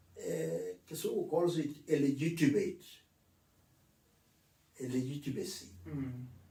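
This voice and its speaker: At a very slow pace, a man speaks with a fairly high pitch, a dark, mellow tone, vocal fry and lively intonation. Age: 80s+. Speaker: retired civil servant, author. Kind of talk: interview answer.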